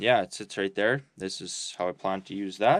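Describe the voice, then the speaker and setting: The speaker mumbles in a rural Canadian accent. The pace is moderate. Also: man. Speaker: homesteader vlogger. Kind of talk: casual vlog talk to camera. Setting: remote bush cabin. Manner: mumbling, halting with fillers.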